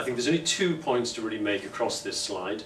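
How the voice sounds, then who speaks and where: Amid light background noise and audible room echo, a man talks at a fairly quick pace. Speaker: speaker. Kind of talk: conference talk. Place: meeting room. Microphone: camera far.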